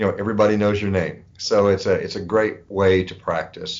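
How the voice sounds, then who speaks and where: With a Texan accent, a man talks at a fairly quick pace in a fairly low pitch with fairly even intonation. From West Texas. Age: 60s. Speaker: pharmacy owner. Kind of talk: interview.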